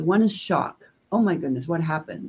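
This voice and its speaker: A woman with a dark, mellow tone and a somewhat breathy quality speaks at a moderate pace. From Denmark. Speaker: gender diversity consultant and author. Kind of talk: interview.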